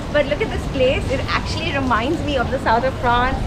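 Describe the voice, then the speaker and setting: Against loud background noise, a woman talks at a fairly quick pace. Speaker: travel vlogger. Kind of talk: casual vlog chat. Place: garden.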